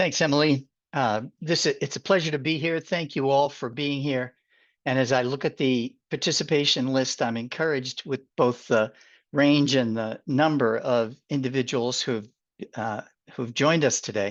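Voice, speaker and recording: A man with a Boston accent, medium pitch, ordinary pitch variation and a moderate pace. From Boston, US. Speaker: consulting firm president, webinar presenter. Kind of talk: webinar presentation. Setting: Zoom webinar.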